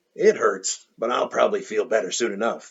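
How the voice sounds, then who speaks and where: A man puts on a character voice. It sounds raspy and moves at a fairly quick pace. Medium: read story.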